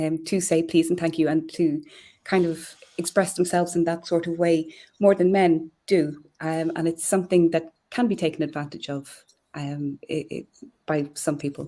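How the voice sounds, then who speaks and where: A woman with an Irish accent speaks at a moderate pace in a fairly low voice. Her tone is dark and mellow, her intonation flat and monotone. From Ireland. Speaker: communications professional. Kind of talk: live stream interview.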